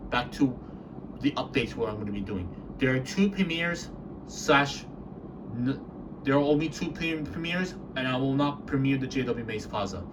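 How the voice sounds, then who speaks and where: With noticeable background noise and audible room echo, a man speaks at a moderate pace in a fairly high pitch. His intonation is lively, broken by long, frequent pauses. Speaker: elevator video channel owner. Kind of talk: casual channel update vlog. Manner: halting, repetitive; trying to speak softly.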